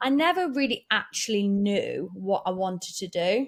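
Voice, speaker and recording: A woman with a fairly high pitch speaks in an animated tone with lively intonation. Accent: East Midlands. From Derbyshire, English Midlands. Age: 30s. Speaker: business owner and mum. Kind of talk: podcast interview. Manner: animated, chatty.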